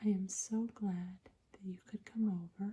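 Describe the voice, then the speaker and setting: A soft-spoken voice talks at a very slow pace. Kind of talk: casual talk to camera, room tour.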